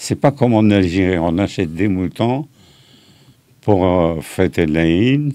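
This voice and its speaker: Against a quiet background, a man speaks at a very slow pace with long, frequent pauses, his very deep, low voice dark and mellow in tone and very even in loudness. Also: lively intonation. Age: 80s+. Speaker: veteran rock musician and songwriter. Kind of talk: interview.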